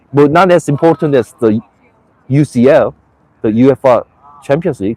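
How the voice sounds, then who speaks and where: A man with a Korean accent speaks at a fairly slow pace, the sound dry and close with no echo. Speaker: live streamer. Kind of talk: casual live stream monologue. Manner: halting, many false starts.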